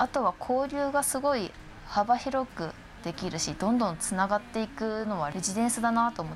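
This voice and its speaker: A woman in an unremarkable speaking voice talks at a moderate pace, her fairly high pitch carrying lively intonation. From Shiroishi, Miyagi, Japan. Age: 20s. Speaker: arts project staff member. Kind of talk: casual chat.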